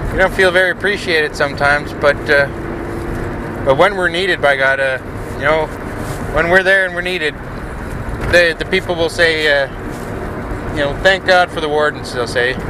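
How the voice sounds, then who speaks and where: A man speaks at a moderate pace with fairly even intonation, leaving long, frequent pauses. The sound is dry with no echo, but there is noticeable background noise. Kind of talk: comedic in-character confrontation.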